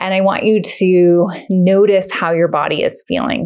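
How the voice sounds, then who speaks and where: A woman speaks with ordinary pitch variation. The background is quiet. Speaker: yoga instructor. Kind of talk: guided exercise instruction. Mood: calm, gentle, encouraging.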